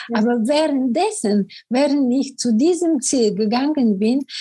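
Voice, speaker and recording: A woman's high-pitched voice has a dark, mellow tone. She speaks at a very slow pace with lively intonation. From Bulgaria. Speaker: business coach. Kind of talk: interview.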